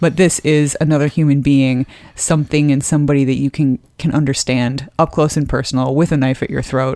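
A woman speaks in a very deep, low voice with a dark, mellow tone. Her intonation is monotone and flat, and her loudness is very even. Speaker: podcast co-host. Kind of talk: casual chat.

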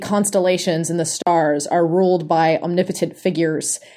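An unremarkable speaking voice at a moderate pace on a very clean recording with a silent background. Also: woman. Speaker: podcast panelist. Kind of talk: casual panel chat.

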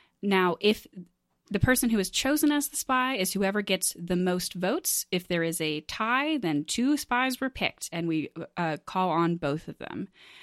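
On a very clean recording with a silent background and a dry, close sound with no echo, a woman of medium pitch talks at a moderate pace with very wide pitch swings. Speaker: game show host. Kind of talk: game show hosting, casual banter.

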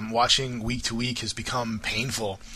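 With a bright, sharp tone and an American accent, a man speaks at medium pitch and a moderate pace. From US Florida. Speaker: caller. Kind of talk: recorded listener message.

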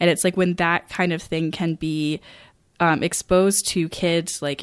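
Recorded very cleanly against a silent background, a woman with an American accent talks at a fairly low pitch. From rural Maine, US. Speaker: podcast host. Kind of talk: casual chat.

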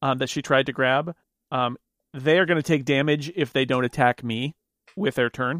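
Using a plain, everyday voice, a man speaks at a moderate pace with a fairly high pitch and fairly even intonation. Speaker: player. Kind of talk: tabletop roleplaying game.

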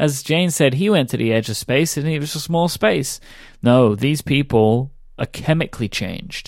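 Recorded very cleanly over a silent background, a man with fairly high pitch and lively intonation speaks at a moderate pace. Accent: British. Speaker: podcast co-host. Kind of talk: casual chat.

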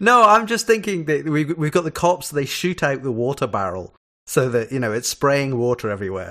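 The voice has a bright, sharp tone, moving at a fairly quick pace with very wide pitch swings. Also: man, fairly high pitch for a man. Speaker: podcast guest, TV discussion. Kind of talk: casual chat.

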